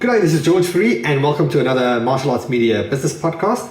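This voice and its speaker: Amid noticeable background noise and audible room echo, a man with a South African accent and fairly high pitch makes very wide pitch swings. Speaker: podcast host. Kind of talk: scripted intro; podcast interview.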